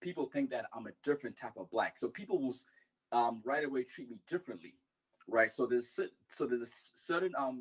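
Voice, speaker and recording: A man with a slight African accent speaks at a very fast pace, with lively intonation and big swings in loudness. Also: medium pitch for a man. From Zimbabwe. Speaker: clubhouse room participant. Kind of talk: casual discussion. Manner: halting, many fillers.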